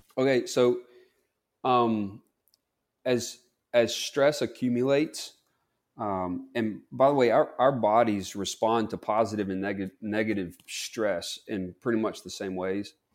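A man with a Southern accent speaks fairly slowly at a medium pitch with ordinary pitch variation, in a very clean recording against a silent background. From US South, Mississippi. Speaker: clinical psychologist. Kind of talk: interview.

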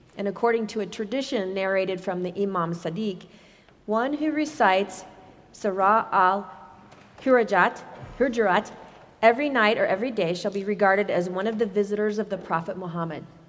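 A woman with a plain, everyday voice speaks at a moderate pace and medium pitch, with ordinary pitch variation. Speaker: scripture reader. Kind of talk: reading aloud. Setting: church.

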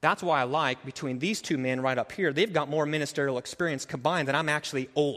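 A man talks in an ordinary speaking voice. His pace is fairly quick and his intonation fairly even. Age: 30s. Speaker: pastor. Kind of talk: sermon. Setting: church.

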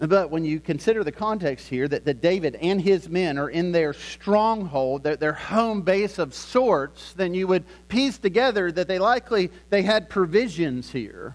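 A man with an American accent talks at a moderate pace in a high voice, with lively intonation and hardly any pauses. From US South, Lynchburg, Virginia. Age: 40s. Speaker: pastor. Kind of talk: sermon. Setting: church.

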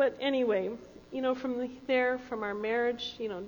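The intonation of a woman's voice stays fairly even. Audible room echo surrounds it. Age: 60s. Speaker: founding church member. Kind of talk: panel testimony in church service. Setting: church.

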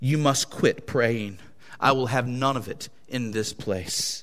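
Using a put-on character voice, a man sounds gruff at a medium pitch, talking at a fairly slow pace with fairly even intonation. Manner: angry.

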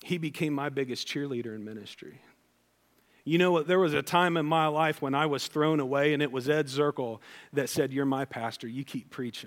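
Speaking with an American accent at a fairly quick pace, a man uses a fairly high pitch with ordinary variation, captured on a very clean recording with a silent background. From US Midwest, Ohio. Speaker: pastor. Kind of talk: sermon.

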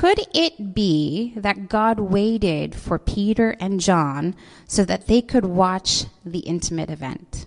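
A woman with an American accent, medium pitch, ordinary pitch variation and a very slow pace. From US Pacific Northwest, Seattle. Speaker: pastor. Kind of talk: sermon. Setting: church service streamed live online.

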